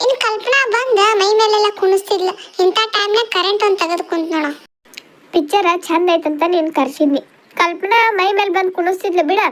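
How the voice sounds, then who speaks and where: A cartoonish character voice, female-sounding, extremely high-pitched for a woman, at a moderate pace. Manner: chatty, boastful.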